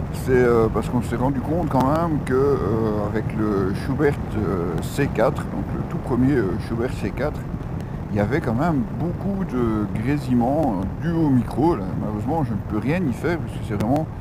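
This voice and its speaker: Speaking at a medium pitch, a man uses lively intonation at a fairly slow pace. Audible room echo and noticeable background noise surround him. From Belgium. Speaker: motorcycle vlogger. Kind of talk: motovlog review while riding. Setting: riding a motorcycle, helmet intercom. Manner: hesitant, many filler sounds. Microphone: helmet intercom mic, in-helmet, crackling.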